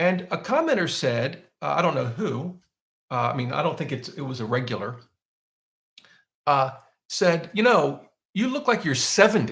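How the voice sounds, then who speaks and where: A man's fairly high voice with vocal fry and very wide pitch swings, at a moderate pace with long, frequent pauses. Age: 50s. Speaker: personal finance YouTuber. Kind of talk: live Q&A. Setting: live stream. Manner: casual, with many fillers.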